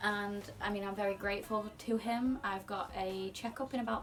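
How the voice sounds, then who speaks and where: Speaking quietly at a fairly slow pace, a woman keeps to a medium pitch. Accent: British. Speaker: singer. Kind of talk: casual talk to camera.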